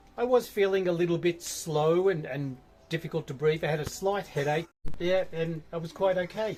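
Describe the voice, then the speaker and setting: At a moderate pace, a man with an Australian accent speaks in a fairly high pitch with ordinary pitch variation. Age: 60s. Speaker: trekker. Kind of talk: interview.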